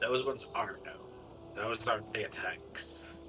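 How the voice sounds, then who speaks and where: A man performs a put-on character voice at a moderate pace. Loud background noise fills the clip. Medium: actual play. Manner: curt, guarded.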